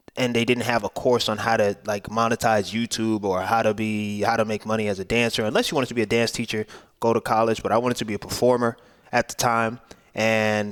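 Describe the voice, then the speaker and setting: With a New York accent, a man talks at a very fast pace in a medium pitch with fairly even intonation. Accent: New York City English. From Brooklyn, New York. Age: 20s. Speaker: YouTuber. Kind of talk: casual vlog talk to camera. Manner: casual, with fillers and repetitions.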